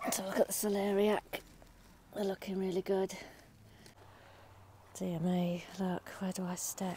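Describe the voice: A woman talks at a medium pitch and a fairly slow pace. Her tone is dark and mellow, with little pitch movement.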